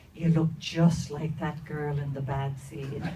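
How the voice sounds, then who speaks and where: There is audible room echo as a woman with a Dublin accent speaks in a somewhat breathy voice. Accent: Dublin Irish. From Ireland, inner-city Dublin. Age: 60s. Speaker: storyteller. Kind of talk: personal storytelling to an audience. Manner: hesitant, many fillers.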